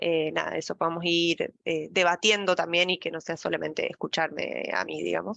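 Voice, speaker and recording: Recorded dry and close with no echo, a woman talks at a moderate pace with hardly any pauses. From Argentina, La Pampa. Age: 30s. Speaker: data science lead. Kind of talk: casual talk to online audience.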